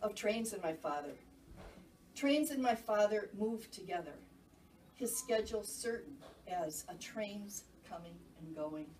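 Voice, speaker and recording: The speech has lively intonation and an American accent. Audible room echo and noticeable background noise fill the recording. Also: woman. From Minnesota, Saint Paul. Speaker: poet. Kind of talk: casual chat; poetry reading. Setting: stage with audience. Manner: loud.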